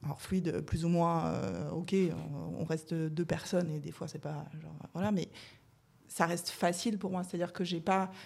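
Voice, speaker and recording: A woman's voice with vocal fry, fairly even intonation and a moderate pace. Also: fairly low pitch for a woman. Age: 30s. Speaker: guest sharing coming-out story. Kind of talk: casual chat.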